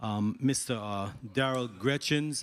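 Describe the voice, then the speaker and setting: A man's medium-pitched voice, a normal speaking voice, with ordinary pitch variation at a moderate pace. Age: 60s. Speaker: senator. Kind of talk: legislative hearing questioning.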